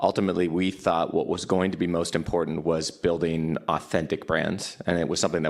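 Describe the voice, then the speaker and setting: A man's very deep, low voice, monotone and flat, very fast with hardly any pauses. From Canada. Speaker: cannabis company executive. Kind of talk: panel discussion.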